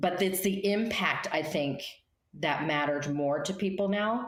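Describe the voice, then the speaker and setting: The speaker is a woman. Her voice shows ordinary pitch variation. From US, Colorado (Denver). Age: 60s. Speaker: life coach and speaker. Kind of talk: interview.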